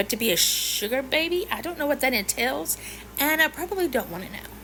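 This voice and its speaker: A woman's raised, projected voice at a fairly quick pace, with noticeable background noise. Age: 50s. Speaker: social media creator. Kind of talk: casual chat to camera. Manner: animated.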